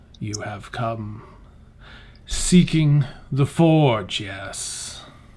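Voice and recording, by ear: A rumbling, put-on character voice with a low-to-middle pitch drags along at a very slow pace.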